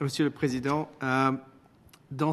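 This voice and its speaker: Over a quiet background, a man with a Spanish accent speaks at a moderate pace in a fairly high pitch. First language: Spanish (speaking French). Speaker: witness at parliamentary committee. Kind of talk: parliamentary committee testimony. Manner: formal.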